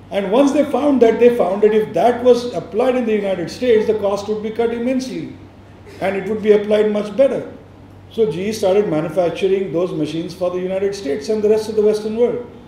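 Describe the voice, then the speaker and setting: The speech goes at a very fast pace. Audible room echo and noticeable background noise fill the clip. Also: man, high pitch for a man, ordinary pitch variation. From India, Maharashtra. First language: Marathi. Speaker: education nonprofit leader.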